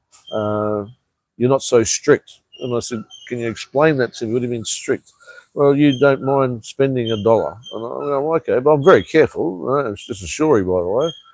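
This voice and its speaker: Recorded with a dry, close sound and no echo, a man talks with an Australian accent. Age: 50s. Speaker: vlogger. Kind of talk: casual chat.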